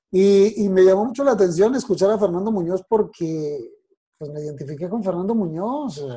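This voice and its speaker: His tone dark and mellow, a man talks at a high pitch. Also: ordinary pitch variation, moderate pace. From Colombia, Bogotá. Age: 40s. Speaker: announcer. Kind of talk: interview.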